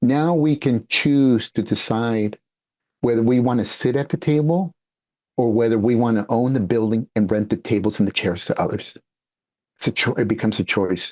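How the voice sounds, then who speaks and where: Moderate pace from a man in a Spanish accent, medium pitch with ordinary variation, very even loudness, and a dry, close sound with no echo over a quiet background. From San Francisco Bay Area, California. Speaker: international speaker and entrepreneur. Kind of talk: podcast interview.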